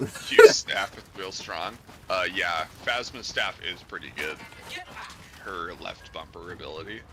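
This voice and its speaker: Over noticeable background noise, a man talks at a fairly slow pace, his loudness swinging widely. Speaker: gamer giving commentary on a co-streamer's play. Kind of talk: mock sports-style play-by-play commentary. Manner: talkative, rambling.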